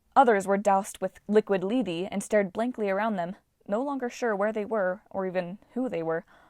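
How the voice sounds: The speaker uses a natural reading voice. Nothing else stands out in the delivery.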